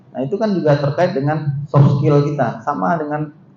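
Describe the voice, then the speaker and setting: A man's fairly high voice at a moderate pace, with noticeable background noise and audible room echo. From West Sumatra, Minangkabau (Pariaman). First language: Minangkabau (speaking Indonesian). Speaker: university vice-rector, lecturer. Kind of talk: seminar lecture. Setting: seminar hall with audience. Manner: conversational, interactive with audience.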